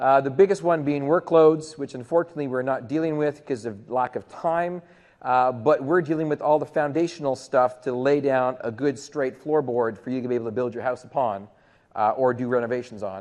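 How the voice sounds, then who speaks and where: Against a quiet background, a man with a Canadian accent talks in an ordinary speaking voice at a fairly quick pace, medium in pitch with ordinary pitch variation. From Canada. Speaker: tech conference presenter. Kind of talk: conference presentation. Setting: stage with audience.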